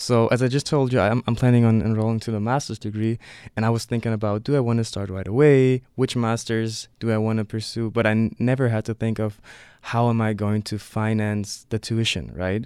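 A man with a German accent talks fairly quickly at medium pitch in a monotone, flat delivery, in a very clean recording with a silent background. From Leipzig, eastern Germany. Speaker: student visitor. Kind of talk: interview. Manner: halting, many fillers.

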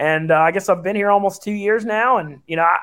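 Ordinary pitch variation runs through this man's speech in a Southern US accent. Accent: Southern US drawl. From Louisiana. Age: 30s. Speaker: sports betting radio personality. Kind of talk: casual chat.

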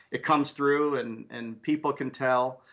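The man speaks at a moderate pace. His intonation stays monotone and flat. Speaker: business leader. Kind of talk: interview conversation.

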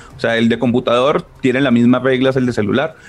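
A man speaks over noticeable background noise. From Colombia, Ibagué. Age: 30s. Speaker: video game company PR manager. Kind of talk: interview.

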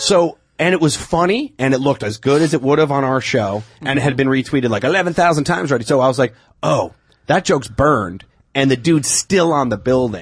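Very fast, somewhat breathy speech in an American accent with lively intonation. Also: man, fairly high pitch for a man. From Long Island, New York. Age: 30s. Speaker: comedian. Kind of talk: casual chat.

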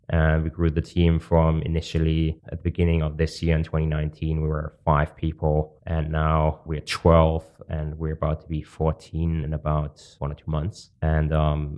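A man speaks with a German accent at a very deep, low pitch. His intonation is monotone and flat, and his pace is moderate. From Germany. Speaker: podcast host and company founder. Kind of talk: casual interview.

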